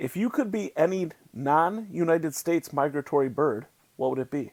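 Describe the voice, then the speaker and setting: On a very clean recording with a silent background, a man with a fairly high pitch speaks at a moderate pace using lively intonation. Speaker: band member and podcast host. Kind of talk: casual chat. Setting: live stream. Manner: mumbling.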